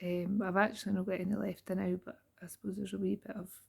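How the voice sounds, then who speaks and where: Somewhat breathy and fairly quick, a woman with a Scottish accent speaks at a medium pitch in a dark, mellow tone. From Scotland. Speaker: beauty therapist. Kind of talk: casual talk to camera. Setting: home, late at night.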